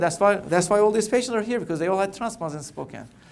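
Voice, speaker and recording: Speaking very fast in a Turkish accent, a man uses lively intonation, with audible room echo around him. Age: 40s. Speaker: cancer doctor. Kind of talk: keynote talk. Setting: conference stage with audience. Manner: halting with repetitions.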